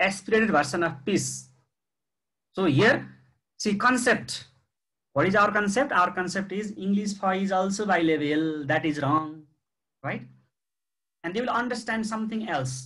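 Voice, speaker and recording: Audible room echo surrounds a man speaking at a fairly slow pace with long, frequent pauses. His bright, sharp voice sits at a high pitch with lively intonation. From Nepal. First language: Nepali. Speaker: university lecturer. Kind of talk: lecture. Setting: video call.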